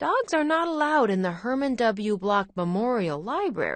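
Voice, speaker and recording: Using a put-on character voice, a woman speaks fairly high with very wide pitch swings. Her loudness stays very even at a moderate pace. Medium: read story. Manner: old-fashioned, proper.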